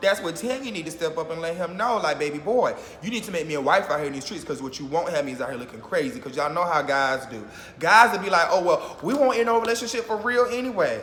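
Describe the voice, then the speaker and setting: Speaking at a very fast pace and a high pitch, a man makes very wide pitch swings amid noticeable background noise and audible room echo. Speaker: YouTuber reacting to reality TV. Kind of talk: casual vlog commentary.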